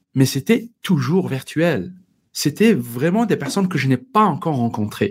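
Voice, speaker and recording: With a North African accent, a man with a fairly high pitch speaks at a fairly slow pace, his pitch swinging very widely, on a very clean recording with a silent background. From Algeria. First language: Berber (speaking French). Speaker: entrepreneur. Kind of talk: casual interview.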